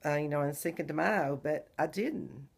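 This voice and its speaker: In a very clean recording with a silent background, a woman speaks with a very deep, low pitch and fairly even intonation. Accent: Southern US. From Texas. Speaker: vlogger. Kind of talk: casual video diary.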